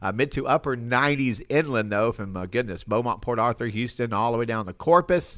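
This is a normal speaking voice with ordinary pitch variation. It moves at a fairly quick pace. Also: man. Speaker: weather forecaster. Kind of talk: weather report reading.

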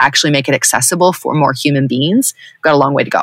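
A woman's very deep, low voice with a bright, sharp tone, ordinary pitch variation and a dry, close sound with no echo. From Southern California. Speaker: spiritual guide. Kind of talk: interview.

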